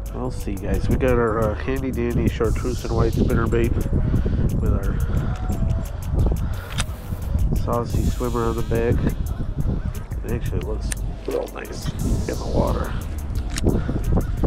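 A man's very slow speech with long, frequent pauses and ordinary pitch variation, dry with no echo, music in the background. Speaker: angler vlogger. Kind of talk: casual vlog chat. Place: waterside. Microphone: phone near.

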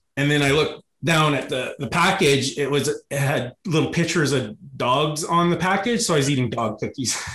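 With hardly any pauses, a man with a western Canadian accent talks at a moderate pace in a fairly high-pitched voice with ordinary pitch variation. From rural Alberta, Canada. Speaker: YouTube comedy creator, former cruise ship worker. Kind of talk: casual interview chat.

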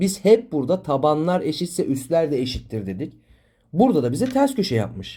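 Fairly high male voice with a dark, mellow tone, vocal fry, very wide pitch swings and a moderate pace. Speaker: math teacher. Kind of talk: tutorial. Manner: explanatory, engaging students with questions.

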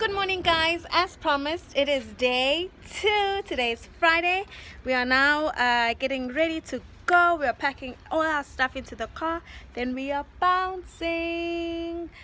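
Over light background noise, a woman in a raised, projected voice speaks at a fairly slow pace, her tone bright and sharp, with ordinary pitch variation. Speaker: vlogger. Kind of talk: casual vlog chat. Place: street. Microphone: phone near.

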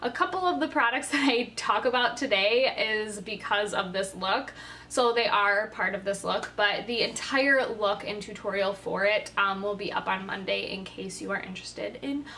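A woman speaks at a moderate pace with ordinary pitch variation. Light background noise is audible. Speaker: beauty vlogger. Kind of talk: casual vlog chat. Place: home room. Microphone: phone near.

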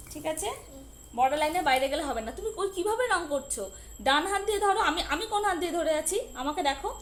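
An extremely high-pitched woman speaks with lively intonation. Background noise is noticeable. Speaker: mother vlogger. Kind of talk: talking to child and viewers. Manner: loud scolding.

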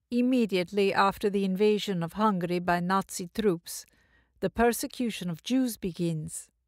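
In a normal speaking voice, a woman talks at a medium pitch and moderate pace with ordinary pitch variation, recorded very cleanly against a silent background with a dry, close sound and no echo. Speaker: audiobook narrator; stage performer. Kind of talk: audiobook reading of spiritual dialogues.

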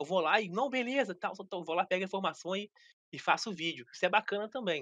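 Against a quiet background, a man with a high pitch uses a raised, projected voice with a bright, sharp tone. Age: 30s. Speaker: gaming youtuber. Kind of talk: casual interview chat. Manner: halting, repeats words. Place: home room. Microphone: video call.

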